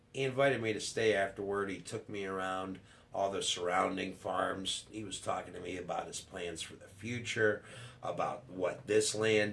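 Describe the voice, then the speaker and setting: There is audible room echo as a man talks at a moderate pace and a fairly low pitch. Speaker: YouTuber, cattle farmer. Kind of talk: casual vlog, subscriber shout-outs. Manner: halting, hesitant with fillers.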